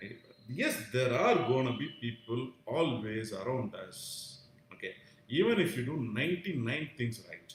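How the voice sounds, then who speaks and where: This man with an Indian accent talks at a fairly slow pace, his medium-pitched voice carrying lively intonation. His loudness swings widely, and there is noticeable background noise. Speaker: vlogger sharing personal views. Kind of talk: live stream monologue. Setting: live stream. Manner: halting, many fillers.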